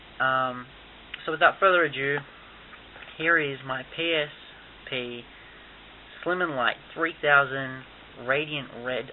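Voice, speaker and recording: Here a man speaks with a fairly high pitch. His intonation stays fairly even. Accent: Australian. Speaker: YouTuber doing tech reviews. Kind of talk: unboxing review. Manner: casual, many fillers.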